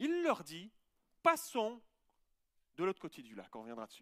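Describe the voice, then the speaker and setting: A man speaks at a moderate pace with a bright, sharp tone. The sound is dry and close, with no echo. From Switzerland. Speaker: pastor. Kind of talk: sermon. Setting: church.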